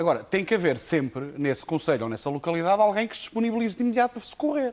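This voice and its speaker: Very fast, a man speaks with very wide pitch swings. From Portugal, Castelo Branco district (Penamacor, interior). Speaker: professional firefighter, association leader. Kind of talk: televised debate.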